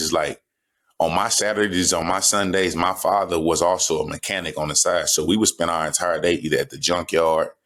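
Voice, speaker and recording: A man talks at a fairly quick pace. His pitch is very deep and low, and his intonation stays fairly even. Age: 30s. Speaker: football player. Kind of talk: interview.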